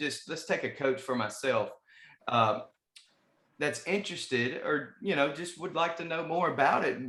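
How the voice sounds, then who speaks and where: Speaking at a moderate pace in a Southern US accent, a man has a bright, sharp tone and lively intonation. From US South. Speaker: podcast host. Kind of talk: casual interview.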